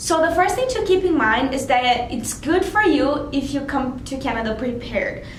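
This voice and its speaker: There is audible room echo as a woman with a high voice speaks at a moderate pace with ordinary pitch variation. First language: not English. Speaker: international student. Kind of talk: vlog tips talk. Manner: casual, with fillers.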